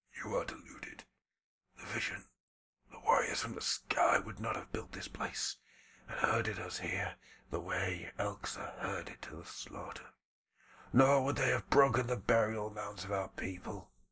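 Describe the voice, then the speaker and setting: A man's put-on character voice at medium pitch, moderate pace, with long, frequent pauses and big swings in loudness. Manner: defiant, prophetic.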